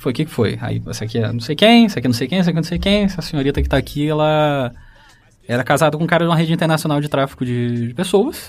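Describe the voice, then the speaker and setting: The man's intonation is lively. He talks at a very fast pace. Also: fairly high pitch for a man. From Rio de Janeiro state, Brazil. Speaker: social worker. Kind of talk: casual chat.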